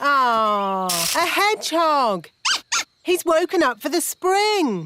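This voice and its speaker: In a cartoonish character voice, a female-sounding speaker talks very slowly at a high pitch with very wide pitch swings. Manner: blunt, slow on the uptake.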